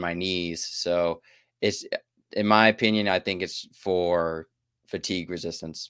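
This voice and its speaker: On a very clean recording with a silent background and a dry, close sound with no echo, a man speaks with a very deep, low pitch and fairly even intonation. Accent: American. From US South, southeast Texas. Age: 20s. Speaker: active-duty military dietitian and ultrarunner. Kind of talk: casual chat.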